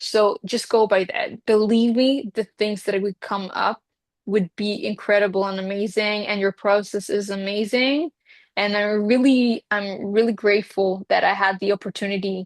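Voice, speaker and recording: A woman with an Israeli accent at a medium pitch and moderate pace, fairly even intonation, dry, close sound with no echo and a quiet background. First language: Hebrew. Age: 20s. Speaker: reiki healer. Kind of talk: interview.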